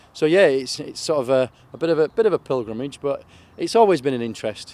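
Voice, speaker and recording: A man with a Yorkshire accent, fairly quick delivery and ordinary pitch variation. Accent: Yorkshire (Hull). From northern England, Hull area. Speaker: charity motorcycle rider. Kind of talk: interview. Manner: halting, many fillers.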